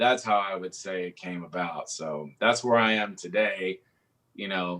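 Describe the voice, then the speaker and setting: In a Texan accent, a man with a fairly low pitch and a bright, sharp tone speaks at a fairly slow pace, showing ordinary pitch variation and big swings in loudness. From South Texas, Coastal Bend (Kingsville area). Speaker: singer-songwriter and guitarist. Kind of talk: casual interview conversation.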